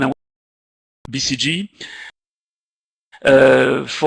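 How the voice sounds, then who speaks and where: A man speaks with a French accent. The sound is dry and close, with no echo. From France, Paris. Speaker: marketing executive. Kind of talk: lecture. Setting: video call. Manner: halting, many fillers.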